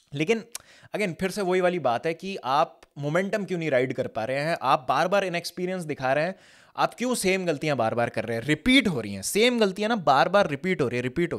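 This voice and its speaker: This man talks at a high pitch and a fairly quick pace, with very wide pitch swings and big swings in loudness. The background is quiet. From India. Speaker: football fan commentator. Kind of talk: casual match reaction monologue. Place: studio. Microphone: studio mic.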